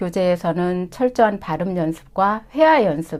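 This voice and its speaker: On a very clean recording with a silent background, a woman talks at a fairly slow pace with a medium pitch. Her tone is dark and mellow, and her intonation lively. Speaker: Chinese language instructor. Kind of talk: course information session.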